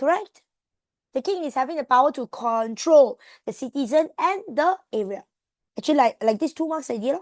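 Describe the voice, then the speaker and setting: Speaking fairly quickly with lively intonation, a woman with a Malaysian accent uses a high pitch, recorded dry and close with no echo against a quiet background. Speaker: tutor. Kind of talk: online tutoring class. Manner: fast.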